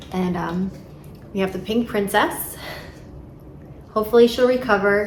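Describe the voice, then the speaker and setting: Over noticeable background noise and audible room echo, a woman with an American accent speaks in a fairly even intonation. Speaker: plant hobbyist vlogger. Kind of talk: casual tutorial vlog. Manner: casual, hesitant with fillers.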